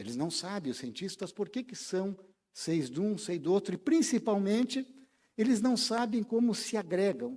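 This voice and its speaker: With a dark, mellow tone and a high pitch, the man talks at a moderate pace, his pitch swinging very widely. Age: 60s. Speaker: spiritist lecturer. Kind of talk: lecture.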